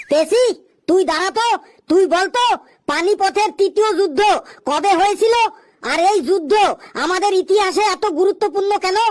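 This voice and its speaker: Someone uses a put-on character voice at an extremely high pitch and a moderate pace. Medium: comedy sketch. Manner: bossy, lecturing.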